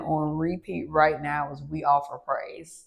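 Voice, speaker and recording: An unremarkable speaking voice moves along at a fairly slow pace. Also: woman. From US South, Atlanta, Georgia. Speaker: entrepreneur, coffee company CEO. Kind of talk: interview, casual chat.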